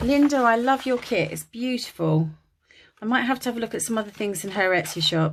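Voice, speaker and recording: A woman talks at a moderate pace. She has a slight Kent accent. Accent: Dartford (Kent) English, slight, drops T's. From England, Dartford, Kent. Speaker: craft YouTuber. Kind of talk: casual crafting tutorial chat. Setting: home attic craft room. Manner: chatty, many fillers.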